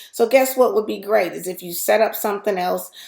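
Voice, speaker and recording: A woman's voice with vocal fry. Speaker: YouTuber and business coach. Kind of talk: live stream chat. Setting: live stream to camera. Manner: fast.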